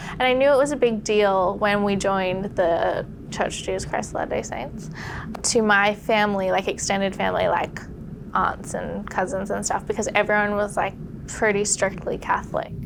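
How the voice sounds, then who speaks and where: A woman with an Australian accent at a moderate pace, amid noticeable background noise. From Australia, Sydney. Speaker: podcast guest sharing conversion story. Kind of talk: testimony. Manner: casual, conversational with filler words.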